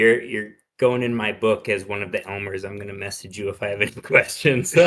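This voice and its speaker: A man uses a normal speaking voice, fairly low in pitch, with fairly even intonation. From US Pacific Northwest, Seattle. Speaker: ham radio net participant, cybersecurity worker. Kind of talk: casual chat.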